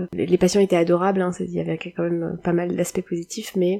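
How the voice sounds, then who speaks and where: A woman talks at a fairly quick pace with a dark, mellow tone, fairly low pitch and monotone, flat intonation, the sound dry and close with no echo. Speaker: podcaster, former nurse turned web writer. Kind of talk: solo podcast monologue. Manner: hesitant, many filler sounds.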